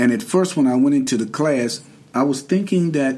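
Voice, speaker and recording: With a North Carolina accent, a man speaks in a dark, mellow tone with lively intonation. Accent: Southern US (North Carolina). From US South, Durham, North Carolina. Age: 60s. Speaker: formerly incarcerated man sharing his experience. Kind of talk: interview.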